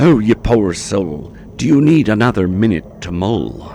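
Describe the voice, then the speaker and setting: Someone does a put-on character voice at a moderate pace, with clear background noise. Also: man, fairly low pitch for a man. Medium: read story. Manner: rhyming, cocky, mocking.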